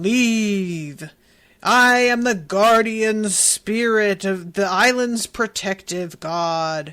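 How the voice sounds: A put-on character voice booms at a fairly high pitch. The delivery is very slow.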